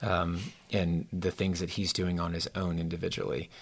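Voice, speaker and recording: At a fairly quick pace, a man with a very deep, low pitch speaks in a monotone, flat intonation, captured in a very clean recording with a silent background. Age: 40s. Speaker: youth pastor. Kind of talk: casual chat.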